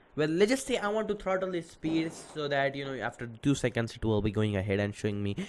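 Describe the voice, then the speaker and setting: A loud man speaks with very wide pitch swings on a very clean recording with a silent background. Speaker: programming tutorial youtuber. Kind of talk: tutorial. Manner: hesitant, many fillers.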